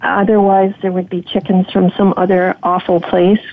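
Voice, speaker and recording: A woman speaks at a moderate pace with a medium pitch. Her intonation stays monotone and flat. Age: 70s. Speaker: homesteader, former video producer. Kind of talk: interview, casual chat. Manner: nervous about public speaking.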